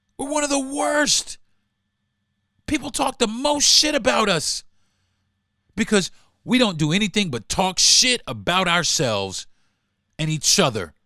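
A man's high, raised, projected voice with an American accent, bright and sharp in tone, with very wide pitch swings and long, frequent pauses. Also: fairly slow pace. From US South, rural Florida. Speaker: podcast host. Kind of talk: angry profane political rant to listeners. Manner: heated, repetitive, expletive-laden venting; exasperated rhetorical questioning.

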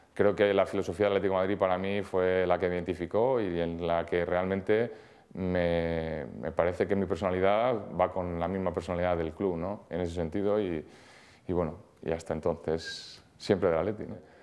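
Very deep, low pitch from a man, moderately paced and fairly even in intonation. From Spain. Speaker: handball goalkeeper. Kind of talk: interview. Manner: hesitant, many fillers. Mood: calm, reflective. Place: studio. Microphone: lapel.

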